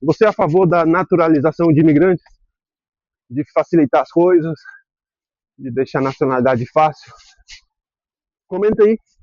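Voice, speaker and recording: A man's fairly high voice proceeds at a moderate pace. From Brazil, raised partly in Spain. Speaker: vlogger. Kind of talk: casual vlog monologue. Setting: outdoors, cycling. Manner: halting, with repetitions; animated.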